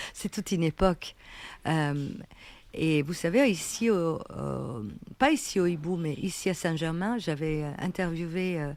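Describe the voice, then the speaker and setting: With an Italian accent, a woman speaks at a fairly slow pace in a fairly low pitch. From Italy. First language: Italian (speaking French). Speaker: writer. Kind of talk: interview. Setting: café.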